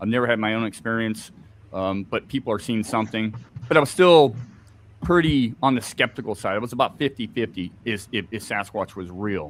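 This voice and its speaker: With an American accent, a man speaks at a medium pitch with ordinary pitch variation. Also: fairly quick pace. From Scotland. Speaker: Bigfoot researcher. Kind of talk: interview on live stream.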